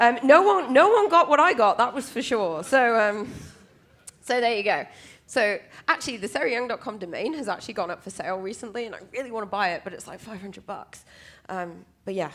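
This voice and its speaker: A woman with a British accent, fairly high pitch, lively intonation, big swings in loudness and a fairly quick pace, on a very clean recording with a silent background. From UK. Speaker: conference speaker, cloud security specialist. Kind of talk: conference talk. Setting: stage with audience. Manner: casual, many filler ums.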